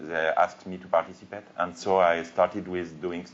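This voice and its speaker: The speech moves at a moderate pace with a French accent. Its intonation is monotone and flat. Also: man. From France. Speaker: cartoonist. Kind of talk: panel discussion. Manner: halting.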